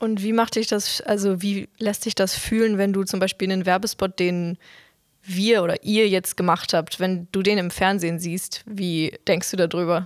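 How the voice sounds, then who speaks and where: A woman talks at medium pitch. Her intonation is monotone and flat. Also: moderate pace. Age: young. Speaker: trainee, podcast host. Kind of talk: casual interview. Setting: studio, sitting face to face.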